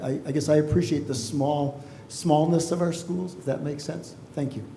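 Audible room echo surrounds a man who talks at a moderate pace and fairly high pitch with ordinary pitch variation. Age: 60s. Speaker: school board candidate. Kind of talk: candidate forum answers.

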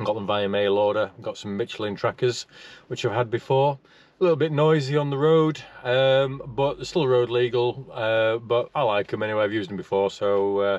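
Recorded dry with no echo, a man speaks at a moderate pace with ordinary pitch variation. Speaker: motorcycle vlogger. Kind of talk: casual vlog chat. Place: car. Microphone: phone near.

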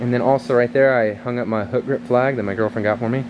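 A man races along at a very fast pace with noticeable background noise behind him. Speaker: fitness vlogger. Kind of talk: casual vlog chat. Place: workshop. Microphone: phone near.

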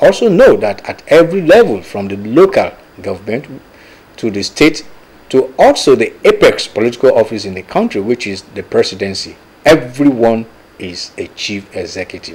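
A man speaks at a moderate pace. His volume swings widely from loud to soft. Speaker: TV show host. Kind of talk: presenter introduction. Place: studio.

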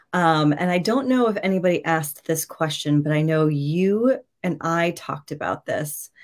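In a quiet background, a woman with an American accent speaks at a moderate pace, fairly low in pitch with ordinary pitch variation. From New York. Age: 40s. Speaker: nutrition and wellness coach. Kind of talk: virtual masterclass talk. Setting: video call livestream. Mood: friendly, relaxed. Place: home room.

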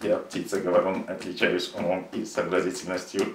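In a put-on, robotic character voice with a very deep, low pitch, a man talks at a fairly quick pace with a slight echo. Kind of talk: stilted, self-important.

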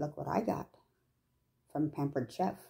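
Against a quiet background, a woman speaks in a fairly low, dark and mellow voice that is somewhat breathy. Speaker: home cooking demonstrator. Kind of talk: tutorial. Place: kitchen. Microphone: phone near.

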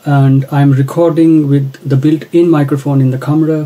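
A man speaks in a dark, mellow tone that is somewhat breathy. His intonation stays flat and monotone. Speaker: gear reviewer. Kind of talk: tutorial. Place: home room. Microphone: phone near.

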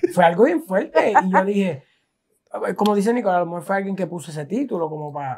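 This man talks at a fairly quick pace with a high pitch, lively intonation and big swings in loudness. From Puerto Rico. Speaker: food content creator, chef; food content creator. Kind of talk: casual interview. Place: home room. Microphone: lapel.

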